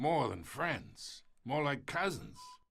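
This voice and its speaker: A man puts on a raspy character voice with fairly high pitch. His intonation is lively. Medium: video game. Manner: gravelly, taunting.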